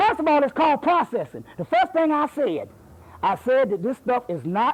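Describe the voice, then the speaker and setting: A man speaks loudly at a moderate pace with an extremely high pitch. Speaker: lecturer. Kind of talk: heated debate; lecture. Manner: animated.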